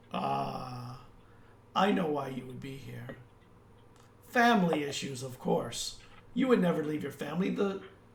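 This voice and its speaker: In a put-on character voice, a man speaks with a raspy sound at a medium pitch and a moderate pace. He leaves long, frequent pauses, and there is audible echo. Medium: actual play. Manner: cool, insinuating.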